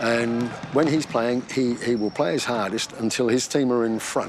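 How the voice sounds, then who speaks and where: Noticeable background noise behind a man of medium pitch speaking at a moderate pace. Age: old. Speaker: basketball coach and retired teacher. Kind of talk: casual chat.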